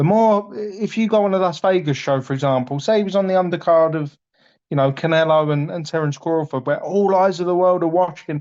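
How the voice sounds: A man at a fairly quick pace, his tone slightly mellow. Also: fairly high pitch for a man, ordinary pitch variation.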